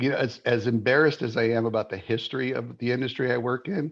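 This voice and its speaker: A man's unremarkable speaking voice at medium pitch, moderate pace and ordinary pitch variation. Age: 60s. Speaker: mortgage industry sales executive. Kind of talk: interview podcast conversation.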